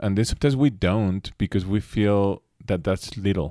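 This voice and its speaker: A man's fairly low, dark, mellow voice in a Mexican accent, with lively intonation at a moderate pace, dry and close with no echo, on a very clean recording with a silent background. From Mexico City. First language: Spanish. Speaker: instrumental rock guitarist. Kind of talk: casual interview chat.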